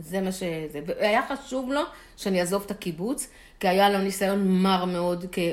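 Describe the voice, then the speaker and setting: A woman talks in an ordinary speaking voice at a moderate pace. Her pitch varies in an ordinary way. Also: medium pitch for a woman. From Israel, Holon. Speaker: retired chemist. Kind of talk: interview.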